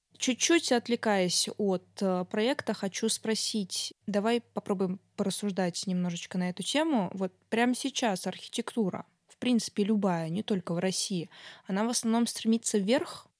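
At a moderate pace, an ordinary speaking voice with ordinary pitch variation and big swings in loudness comes through a very clean, silent recording that is dry and close with no echo. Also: woman, fairly high pitch for a woman. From Samara region, Russia (Tolyatti). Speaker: podcast host. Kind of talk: casual chat.

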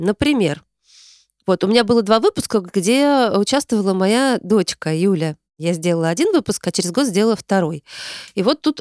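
A woman with an unremarkable speaking voice speaks at a fairly slow pace and medium pitch, her intonation lively and her loudness very even, on a very clean, dry, close recording with no echo and a silent background. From Tarusa, Kaluga region, Russia. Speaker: podcast host, psychologist. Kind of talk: solo monologue, year-end recap, reading listener messages. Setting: recorded in her hometown. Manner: warm, conversational, friendly.

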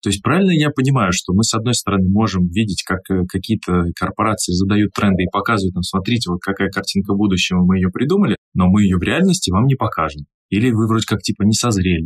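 Talking at a very fast pace, a man with a fairly low pitch keeps very even loudness and ordinary pitch variation, recorded with a dry, close sound and no echo. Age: 30s. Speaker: podcast host, event host and speaking mentor. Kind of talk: casual podcast chat.

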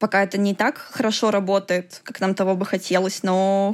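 In a very clean recording with a silent background, a woman speaks at medium pitch and a moderate pace with monotone, flat intonation. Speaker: computational linguist. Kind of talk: interview.

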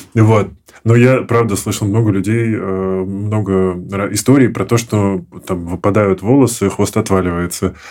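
A man with a dark, mellow tone speaks at a fairly slow pace with fairly even intonation on a very clean recording with a silent background. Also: fairly low pitch for a man. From small Russian town. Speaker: podcast host. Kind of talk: podcast interview. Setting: studio.

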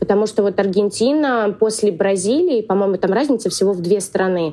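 A woman's medium-pitched voice with ordinary pitch variation and noticeable background noise. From Russia. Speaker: expat, salon owner. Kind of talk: casual interview. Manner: animated.

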